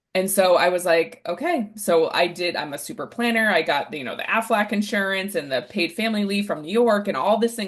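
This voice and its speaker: A woman with an American accent, medium pitch, ordinary pitch variation and an animated tone, against a quiet background. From New Hampshire, US. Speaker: relationship coach. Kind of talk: podcast interview.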